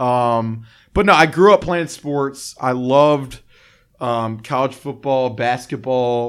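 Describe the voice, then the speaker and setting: The recording is very clean, the background silent. Speech comes at a very slow pace. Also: man, medium pitch for a man, ordinary pitch variation. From Alabama, Birmingham. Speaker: sports beat writer. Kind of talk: interview. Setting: studio.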